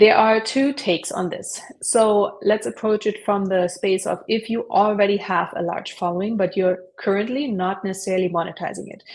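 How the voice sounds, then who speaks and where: A woman with a German accent speaks at a moderate pace, her medium pitch kept to fairly even intonation. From Germany. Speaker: online entrepreneur, affiliate marketer. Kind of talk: interview. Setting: live stream.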